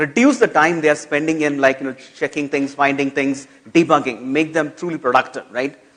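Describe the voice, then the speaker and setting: The man talks at a fairly high pitch. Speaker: conference keynote speaker. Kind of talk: conference keynote. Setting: stage with audience. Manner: loud.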